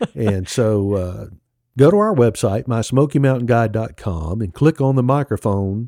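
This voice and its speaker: A man's fairly low voice with a Mississippi accent, dark and mellow in tone, dry and close with no echo, on a very clean recording with a silent background. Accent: Southern US (Mississippi). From Mississippi, US South. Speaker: podcast co-host, local travel guide. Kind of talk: casual chat.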